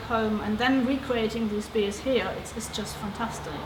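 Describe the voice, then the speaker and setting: Audible room echo and noticeable background noise surround a woman speaking at a moderate pace in a fairly high pitch. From Germany. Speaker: brewery co-owner. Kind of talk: interview.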